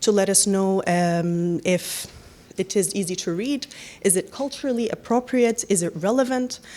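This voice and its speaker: A woman speaks with an Arabic accent at medium pitch and a moderate pace. Her tone is dark and mellow, with ordinary pitch variation. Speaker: panelist from a newcomer support organization. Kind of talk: panel presentation.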